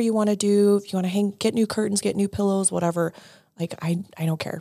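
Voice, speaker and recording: A woman talks very fast in an American accent, at medium pitch with a dark, mellow tone. Her intonation stays fairly even on a very clean recording with a silent background. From Denver, Colorado. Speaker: wife of a pro fighter. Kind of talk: interview.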